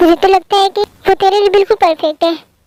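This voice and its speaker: Using a put-on character voice, a woman talks at an extremely high pitch and a very fast pace. Her intonation is monotone and flat, her loudness very even. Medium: voice reel. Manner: jovial, teasing.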